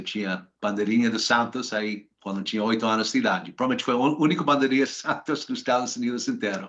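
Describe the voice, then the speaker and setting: The background stays quiet. A man talks with an American accent. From US, Washington DC. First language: English (speaking Portuguese). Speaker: finance professional. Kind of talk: interview. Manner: halting, many hesitations.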